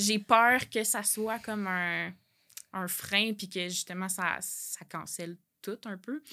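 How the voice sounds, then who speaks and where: Recorded very cleanly against a silent background, a woman speaks at a medium pitch in a bright, sharp tone with fairly even intonation. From Quebec, L'Assomption. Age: 20s. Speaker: graphic designer and author. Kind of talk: personal testimony interview.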